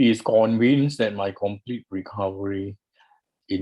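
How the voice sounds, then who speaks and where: In a quiet background, a man with a fairly low pitch talks at a fairly slow pace with fairly even intonation, an unremarkable speaking voice. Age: 60s. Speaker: retired doctor. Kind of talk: reading aloud.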